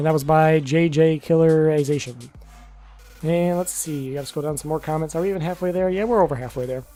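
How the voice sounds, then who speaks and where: Music plays in the background as a man talks very fast. His pitch is fairly high and his intonation fairly even. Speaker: gaming youtuber. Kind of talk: casual q&a talk to camera.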